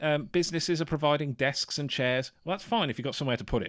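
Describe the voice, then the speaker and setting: A man at a very fast pace. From English Midlands. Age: 30s. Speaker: photographer and podcaster. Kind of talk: casual chat.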